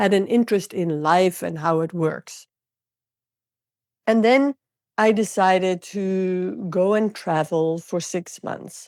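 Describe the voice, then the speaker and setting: A woman with a Dutch accent at medium pitch, speaking very slowly with ordinary pitch variation and long, frequent pauses, in a very clean recording with a silent background. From Netherlands. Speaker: intuitive coach and healer. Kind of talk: interview.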